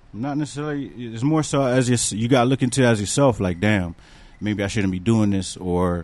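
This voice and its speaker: A plain, everyday voice from a man with an American accent, medium in pitch with ordinary variation, at a fairly quick pace. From Bridgeport, Connecticut. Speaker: rapper and recording engineer. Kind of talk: casual chat.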